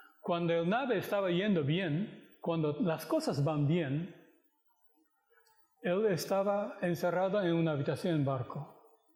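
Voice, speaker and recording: A man's high-pitched voice at a fairly slow pace, with ordinary pitch variation, very even loudness and audible room echo. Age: 60s. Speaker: pastor. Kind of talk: sermon. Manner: halting.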